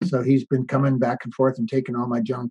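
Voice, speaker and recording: A man with an American accent speaks fairly quickly at a medium pitch, his tone dark and mellow. His voice is somewhat breathy, and the sound is dry and close with no echo. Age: 60s. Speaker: off-grid tiny house builder. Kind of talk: interview conversation.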